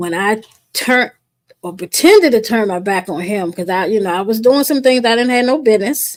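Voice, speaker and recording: Delivered at a fairly quick pace, a woman's normal speaking voice has lively intonation. Her pitch sits fairly high. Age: 60s. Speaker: guest on wellness podcast. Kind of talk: casual chat.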